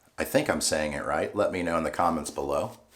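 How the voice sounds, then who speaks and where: Over noticeable background noise, a man talks in a relaxed tone. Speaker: shaving video creator. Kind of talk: casual tutorial while shaving. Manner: relaxed, halting with fillers.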